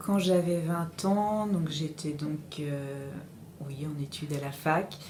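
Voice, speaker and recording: A woman's very deep, low-pitched voice with audible room echo. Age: 40s. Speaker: interviewee. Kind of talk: interview testimony. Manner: halting, many hesitations.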